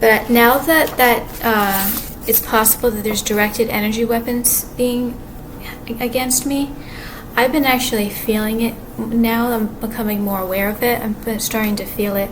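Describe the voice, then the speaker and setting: A soft-spoken woman with a fairly high pitch at a moderate pace and fairly even intonation, with audible room echo and noticeable background noise. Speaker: vlogger. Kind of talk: personal video monologue. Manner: halting.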